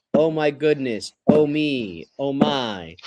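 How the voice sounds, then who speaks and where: In a put-on character voice, a man goes sing-song at a very slow pace. His pitch is fairly high. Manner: exaggerated surprise, sing-song.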